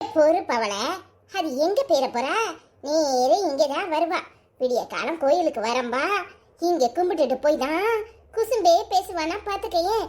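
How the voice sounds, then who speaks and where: Putting on a squeaky, cartoonish character voice, a woman talks very slowly at an extremely high pitch, her pitch swinging very widely. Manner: sly, sarcastic.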